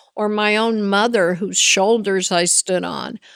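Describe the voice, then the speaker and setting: A woman on a very clean recording with a silent background. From Latin America, Spanish-speaking. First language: Spanish. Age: 70s. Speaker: business executive. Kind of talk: interview. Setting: conference podcast.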